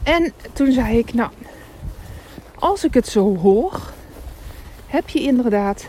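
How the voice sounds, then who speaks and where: With noticeable background noise behind her, a woman speaks at a very slow pace in a fairly high pitch. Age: 30s. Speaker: career coach and podcaster. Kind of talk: casual monologue. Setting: outdoors, walking in snow.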